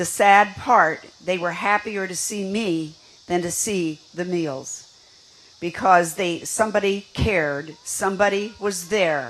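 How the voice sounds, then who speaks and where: Very slow speech in an American accent, with ordinary pitch variation and noticeable background noise. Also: woman, medium pitch for a woman. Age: 80s+. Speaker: senior advocate. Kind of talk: rally speech.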